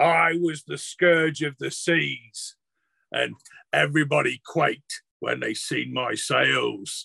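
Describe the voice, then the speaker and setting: A raspy, put-on character voice from a man at a fairly slow pace. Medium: actual play. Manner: defiant, boastful ranting.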